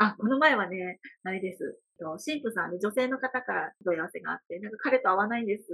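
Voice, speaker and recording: A woman speaks at a fairly quick pace with lively intonation. Her tone is bright and sharp, and her pitch sits fairly high. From Hyogo, Kansai (rural Ako). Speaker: wedding producer and emcee. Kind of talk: casual interview.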